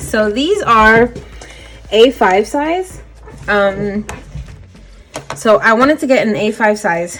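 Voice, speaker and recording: With noticeable background noise, a woman talks using lively intonation. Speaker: budgeting YouTuber. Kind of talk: casual tutorial vlog.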